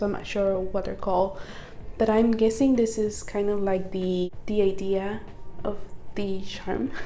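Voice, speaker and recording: Audible room echo surrounds a woman who talks fairly slowly at a medium pitch. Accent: non-native. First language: not English. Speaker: nail art YouTuber. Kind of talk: unboxing tutorial, casual. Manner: casual, hesitant.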